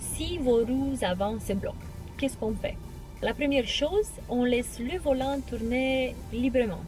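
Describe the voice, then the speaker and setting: In a dry recording with no echo and clear music in the background, a woman speaks at a very slow pace. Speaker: car vlogger. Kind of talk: tutorial.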